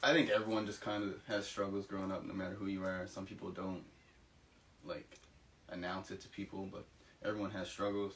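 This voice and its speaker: Fairly low in pitch, a man talks at a fairly quick pace with fairly even intonation and long, frequent pauses. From Nova Scotia, Canada (Halifax). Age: 20s. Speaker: university student. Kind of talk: interview testimony.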